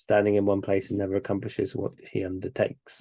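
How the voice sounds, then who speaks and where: In a hoarse, put-on character voice, the speaker rattles along at a very fast pace with monotone, flat intonation. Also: man. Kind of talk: instructional, explanatory.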